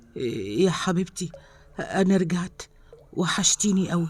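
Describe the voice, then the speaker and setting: In a shaky, put-on character voice at a middle pitch, the speaker talks at a very slow pace. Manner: eager, emotional.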